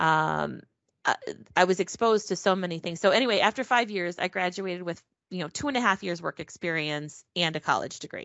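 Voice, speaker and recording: A woman with a normal speaking voice talks at a fairly quick pace, her medium pitch showing ordinary pitch variation. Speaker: packaging engineering specialist. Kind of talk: casual interview.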